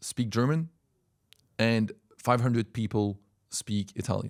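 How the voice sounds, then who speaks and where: A man speaks in a French accent at a medium pitch, his tone animated. The sound is dry and close, with no echo. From French-speaking Switzerland, near Geneva. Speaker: language coach and language school worker. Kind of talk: casual talk to camera. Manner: animated, with repetitions and fillers.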